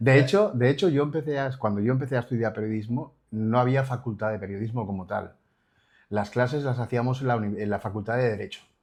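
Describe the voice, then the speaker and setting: Against a quiet background, a man speaks at a very fast pace with medium pitch and ordinary pitch variation. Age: 60s. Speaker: journalist. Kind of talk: interview.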